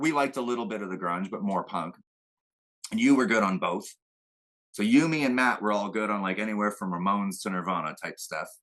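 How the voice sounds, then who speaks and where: Against a quiet background, a man with a fairly low pitch and ordinary pitch variation talks at a fairly quick pace in an unremarkable speaking voice. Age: 40s. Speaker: musician and tattoo artist. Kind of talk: casual interview chat.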